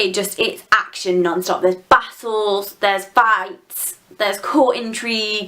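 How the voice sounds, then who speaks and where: A woman in a British accent talks with fairly even intonation over noticeable background noise. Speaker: book reviewer. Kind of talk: casual chat.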